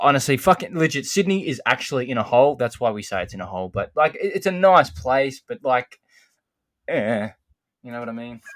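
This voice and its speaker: Speaking in an Australian accent, a man has a medium pitch and a fairly quick pace. His pitch swings very widely, and his loudness shifts a lot. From Australia, Melbourne. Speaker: podcast guest, card collector. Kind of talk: casual chat. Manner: animated.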